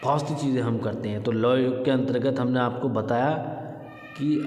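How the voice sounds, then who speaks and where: A man talks at a very slow pace in a medium pitch, his intonation fairly even. Noticeable background noise and audible room echo surround him. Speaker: yoga teacher. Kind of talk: tutorial.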